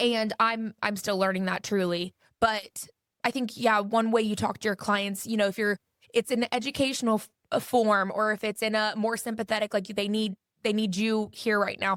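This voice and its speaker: Her fairly high voice stays monotone and flat at a moderate pace, recorded dry and close with no echo on a very clean, silent background. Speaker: realtor. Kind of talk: interview. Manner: loud.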